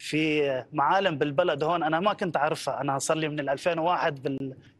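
Fairly slow, fairly even delivery in a dry sound with no echo. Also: man. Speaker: volunteer; TV guest. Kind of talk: interview. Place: studio. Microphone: lapel.

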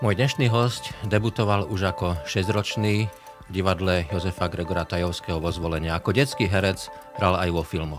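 Clear music plays behind a man whose very deep, low voice keeps a moderate pace and ordinary pitch variation. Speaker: podcast host. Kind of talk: interview questions. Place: studio. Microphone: studio mic.

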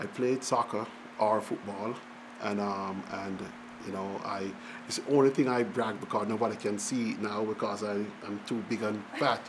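Over noticeable background noise, a man with a fairly low pitch talks at a moderate pace with fairly even intonation. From rural Jamaica. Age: 60s. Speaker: economics professor. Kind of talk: oral history interview. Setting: public event venue.

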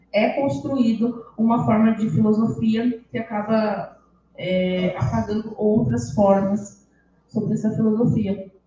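There is audible room echo and light background noise. A woman with a fairly high pitch speaks at a fairly slow pace. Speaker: history undergraduate presenter; presenter. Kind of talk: academic presentation. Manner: reading aloud. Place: classroom.

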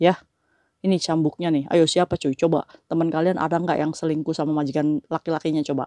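A woman speaks fairly quickly in a very deep, low voice with a dark, mellow tone. The background is quiet. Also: dry sound with no echo. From Indonesia. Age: 40s. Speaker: migrant domestic worker vlogger. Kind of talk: casual vlog monologue. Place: home room. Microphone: lapel.

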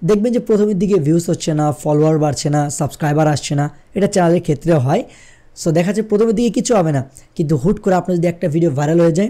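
Against a quiet background, a man with a high pitch and a dark, mellow tone speaks at very even loudness with ordinary pitch variation. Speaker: tech YouTuber. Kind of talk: tutorial. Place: studio. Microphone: studio mic.

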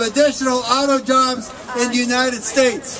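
Crowd noise fills the background as a man talks. He has an American accent and speaks at a fairly slow pace. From US Midwest, Detroit area. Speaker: union activist. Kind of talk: outdoor protest rally speech, reading opponents' quotes aloud to a crowd. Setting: outdoors at a rally with crowd. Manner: pointed, indignant build-up with occasional stumbles. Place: street.

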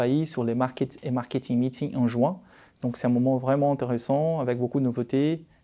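A man with a slight Brazilian accent speaks at a moderate pace in a medium-pitched voice, with a dark, mellow tone and fairly even intonation. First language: Portuguese (speaking French). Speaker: marketing director. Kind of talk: corporate self-presentation. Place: office. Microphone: lapel.

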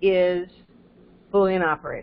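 A woman at a very slow pace. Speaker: university programming instructor. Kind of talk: live online lecture. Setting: video call with screen share. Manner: explanatory, conversational.

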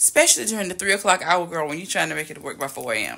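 A woman's lively intonation against a quiet background. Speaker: lifestyle vlogger. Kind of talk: casual vlog chat. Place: home room. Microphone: phone near.

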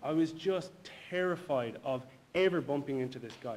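Pitched fairly high, a man speaks with a Galway accent and ordinary pitch variation. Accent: Galway Irish. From Ireland, Galway; Ireland. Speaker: personal trainer and bodybuilder; personal trainer. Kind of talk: personal testimony. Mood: reflective, personal story. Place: hall.

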